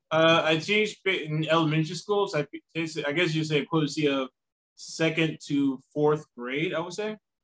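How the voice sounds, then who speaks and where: A man speaks in a plain, everyday voice with fairly high pitch, fairly even intonation and a moderate pace, the sound dry and close with no echo. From US South, South Carolina. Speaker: travel writer and teacher. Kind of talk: interview.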